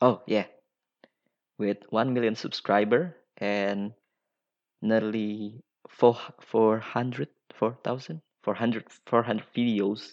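Speaking at a very slow pace with long, frequent pauses, a man keeps a fairly even intonation at a medium pitch. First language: Indonesian. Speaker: podcaster. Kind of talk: solo monologue. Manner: halting.

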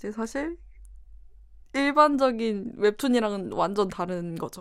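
A woman with a fairly high pitch and lively intonation, at a very slow pace with long, frequent pauses. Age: 20s. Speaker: illustrator. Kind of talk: casual chat.

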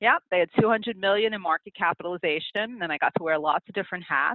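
Speaking fairly quickly with lively intonation, a woman talks in an American accent. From US, New York (Queens). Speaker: accountant and business consultant. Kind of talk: interview. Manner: animated.

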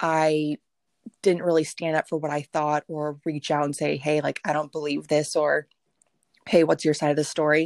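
Very deep and low, a woman's voice holds a monotone, flat intonation at a moderate pace, with a dry, close sound, no echo, and a very clean recording over a silent background. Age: 20s. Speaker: podcast guest, young mother. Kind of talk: casual chat. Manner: outspoken.

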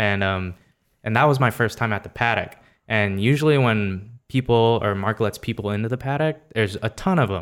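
Through a very clean recording with a silent background, a man with a normal speaking voice talks at medium pitch and a moderate pace, with ordinary pitch variation. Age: 20s. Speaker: car enthusiast. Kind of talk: casual chat.

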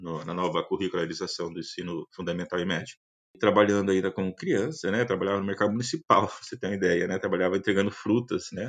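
Against a quiet background, a man with a fairly low pitch talks at a very fast pace with ordinary pitch variation. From Paraná, Brazil (Curitiba metropolitan region). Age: 50s. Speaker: university professor and agronomist. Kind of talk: interview testimony. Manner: halting, many fillers.

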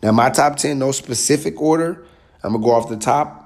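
A man speaks with an American accent at a moderate pace. His tone is animated. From US South. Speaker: sports podcast host. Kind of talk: casual solo sports commentary. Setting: studio.

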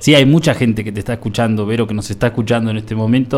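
Speaking with fairly even intonation, a man holds a medium pitch. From Buenos Aires, Argentina. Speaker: radio host. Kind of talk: community radio interview. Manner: halting.

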